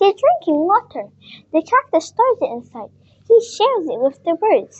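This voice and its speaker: A woman's put-on character voice, extremely high-pitched, with very wide pitch swings. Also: moderate pace. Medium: read story.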